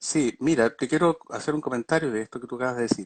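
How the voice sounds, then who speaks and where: A man's fairly quick speech over a quiet background. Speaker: doctor specializing in vertigo. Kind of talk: online talk on a medical topic. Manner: fast; many filler words (eh, digamos).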